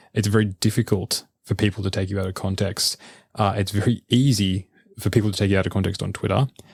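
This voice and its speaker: A man speaks very fast with an Australian accent, in a monotone, flat intonation. His voice is somewhat breathy on a very clean recording with a silent background. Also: fairly low pitch for a man, dry, close sound with no echo. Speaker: researcher and podcaster. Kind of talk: casual interview conversation. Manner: repeats words, stammering starts.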